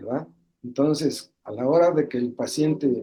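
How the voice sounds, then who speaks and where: A man speaks fairly slowly in a dark, mellow tone. His pitch sits fairly high, with ordinary variation. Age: 60s. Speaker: medical webinar speaker. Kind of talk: webinar talk. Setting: online webinar. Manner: halting.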